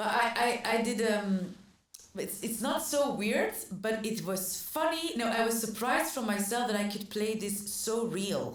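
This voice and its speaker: With a Flemish accent, the speaker uses ordinary pitch variation, and audible room echo can be heard. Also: woman, fairly high pitch for a woman. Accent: Flemish Dutch accent in English. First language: Dutch. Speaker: actor. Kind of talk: casual chat. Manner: halting, many fillers and restarts.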